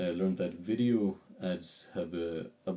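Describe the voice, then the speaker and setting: A male voice carries the speech. Its tone is dark and mellow. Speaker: vlogger building an online business. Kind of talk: casual video journal. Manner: fast; halting, many fillers and restarts.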